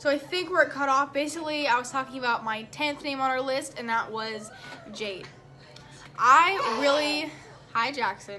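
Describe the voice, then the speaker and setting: Projecting a raised voice at a high pitch, a woman speaks at a moderate pace with ordinary pitch variation, music in the background and audible room echo. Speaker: family vlogger. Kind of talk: casual vlog talk.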